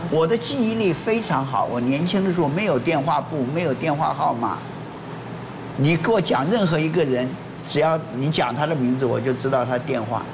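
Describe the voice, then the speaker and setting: Over noticeable background noise and audible room echo, a man with a fairly high pitch speaks at a moderate pace with lively intonation and very even loudness. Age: 80s+. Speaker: former weather presenter. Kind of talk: casual talk show chat.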